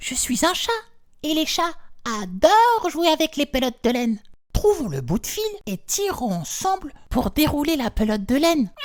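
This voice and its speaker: Using a put-on character voice, a man pushes his pitch extremely high and swings it very widely. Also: moderate pace. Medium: read story.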